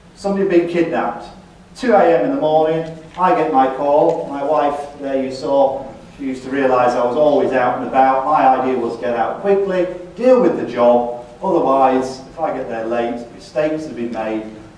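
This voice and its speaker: Through audible room echo and noticeable background noise, a man with a Yorkshire accent talks in a fairly high pitch with ordinary pitch variation. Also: moderate pace, big swings in loudness. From Yorkshire, northern England. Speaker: retired police detective, speaker. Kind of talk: talk to an audience. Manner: halting.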